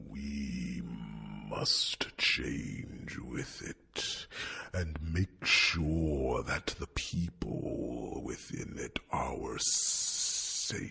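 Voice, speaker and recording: Growling in a put-on character voice, a man speaks at a very slow pace. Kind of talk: ASMR fantasy roleplay. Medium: solo performance. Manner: soft, warm, gently chiding.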